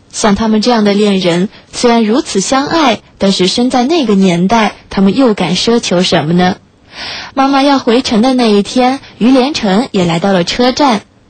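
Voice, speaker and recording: The voice is somewhat breathy, with lively intonation at a moderate pace. Its loudness stays very even. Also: woman. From Shanghai, China. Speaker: late-night radio host. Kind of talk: reading aloud a listener's story; radio presenting, addressing listeners.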